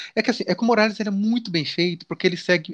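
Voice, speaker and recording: Over a quiet background, a man with a high pitch speaks with ordinary pitch variation, the sound dry and close with no echo. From Brazil, countryside (interior). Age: 40s. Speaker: comics YouTuber. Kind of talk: casual interview chat.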